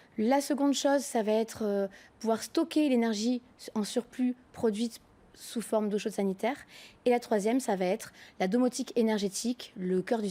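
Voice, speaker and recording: A woman's fairly high voice with ordinary pitch variation, at a moderate pace with long, frequent pauses, in a very clean recording with a silent background. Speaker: company co-founder and CEO. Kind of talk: TV business interview. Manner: hesitant, many fillers.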